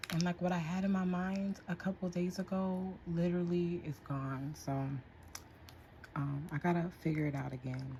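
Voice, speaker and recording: A woman with an American accent speaks at a moderate pace in a dark, mellow, somewhat breathy voice, fairly low in pitch and fairly even in intonation. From Whittier, California. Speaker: nail artist. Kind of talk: livestream tutorial. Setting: at home. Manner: casual.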